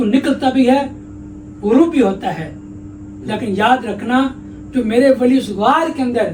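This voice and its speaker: A man with an extremely high voice and ordinary pitch variation, over noticeable background noise. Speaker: Islamic scholar / mufti giving a sermon. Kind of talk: religious sermon / interview answer.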